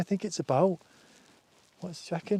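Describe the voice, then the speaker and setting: In a northern English accent, a man speaks with lively intonation. His tone is dark and mellow. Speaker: outdoor vlogger. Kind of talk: casual chat. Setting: outdoors. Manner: halting.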